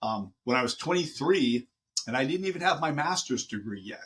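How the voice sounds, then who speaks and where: A man talks with lively intonation. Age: 60s. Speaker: college professor. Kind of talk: interview. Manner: halting.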